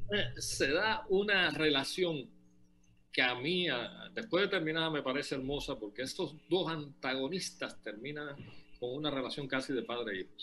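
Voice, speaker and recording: This man's fairly high voice has a bright, sharp tone and lively intonation, moving at a moderate pace. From Cuba. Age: 60s. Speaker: novelist. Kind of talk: interview. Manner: halting.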